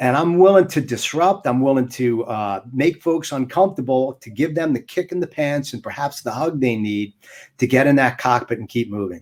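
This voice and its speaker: Speaking with an American accent at a moderate pace, a man sounds animated and energetic, with lively intonation, on a very clean recording with a silent background. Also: medium pitch for a man. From United States. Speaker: motivational speaker. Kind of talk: interview. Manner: energetic, inflected voice.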